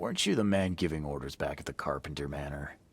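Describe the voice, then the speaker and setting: Putting on a raspy character voice, a man speaks at a very fast pace with a very deep, low pitch and ordinary pitch variation. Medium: video game. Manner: dry, sardonic.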